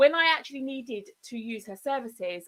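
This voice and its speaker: A woman's animated tone in a southern English accent, with ordinary pitch variation. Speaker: digital marketing consultant. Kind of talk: live broadcast presentation. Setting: live stream. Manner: fast.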